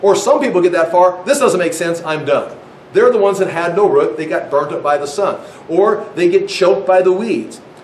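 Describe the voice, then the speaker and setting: Talking at a fairly quick pace with a high pitch, a man sounds animated and uses ordinary pitch variation, with noticeable background noise and audible room echo. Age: 60s. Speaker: Bible teacher. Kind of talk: sermon.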